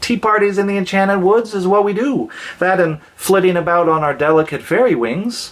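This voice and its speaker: Using a put-on character voice, a man talks at a fairly quick pace in a high pitch. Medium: read story. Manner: fussy, genteel.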